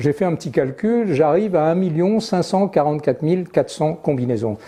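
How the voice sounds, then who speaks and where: High-pitched for a man, his voice has a dark, mellow tone and swings very widely in pitch. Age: 70s. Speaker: golf clubmaker and fitter. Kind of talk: interview. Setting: workshop. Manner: hesitant, many fillers.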